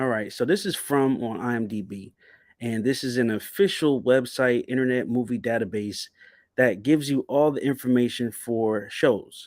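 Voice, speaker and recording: Recorded very cleanly against a silent background, a man with a New Jersey accent speaks at a moderate pace in a medium pitch with ordinary pitch variation. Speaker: YouTube TV show commentator. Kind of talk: livestream commentary. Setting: livestream.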